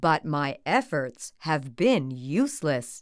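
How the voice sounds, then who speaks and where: A woman does a put-on character voice in a very deep, low pitch at a very slow pace, on a very clean recording with a silent background. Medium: read story. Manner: serious, courteous.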